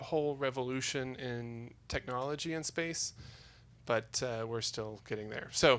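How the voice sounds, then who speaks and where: Here a man speaks at medium pitch. His pace is fairly slow. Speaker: spacesuit designer, inventor. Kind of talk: talk to a live audience. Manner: slow enunciation; hesitant, many fillers.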